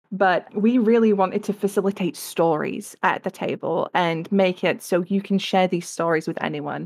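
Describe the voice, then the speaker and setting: A woman with an English accent speaks at a moderate pace and medium pitch, with fairly even intonation and hardly any pauses. The recording is very clean, the background silent. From England. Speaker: game illustrator and art director. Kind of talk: interview.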